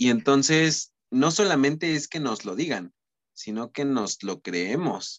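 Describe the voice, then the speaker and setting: A man with a fairly high voice speaks at a very slow pace with very wide pitch swings. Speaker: podcast co-host, communication student. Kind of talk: casual chat.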